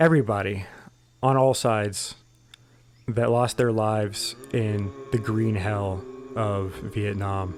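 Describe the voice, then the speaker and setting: Speaking very slowly with long, frequent pauses, a man with an American accent uses a fairly low pitch and ordinary pitch variation. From Central Florida. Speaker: military history podcast host, army veteran. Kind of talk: casual podcast monologue. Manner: informal, meandering.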